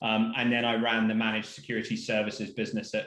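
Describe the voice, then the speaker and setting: A man speaks at a fairly quick pace in a British accent. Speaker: cybersecurity executive. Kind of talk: webinar panel self-introduction. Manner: hesitant fillers.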